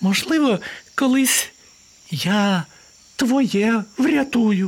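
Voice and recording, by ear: Putting on a squeaky character voice at an extremely high pitch, a man speaks very slowly with lively intonation.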